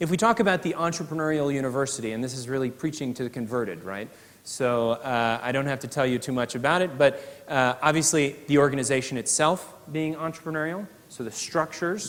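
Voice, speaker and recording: With an American accent, a man talks at a very fast pace. His pitch is fairly high, with ordinary variation. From US, New York City. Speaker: professor. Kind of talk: keynote speech. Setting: conference stage with audience. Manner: hesitant, many filler uhs.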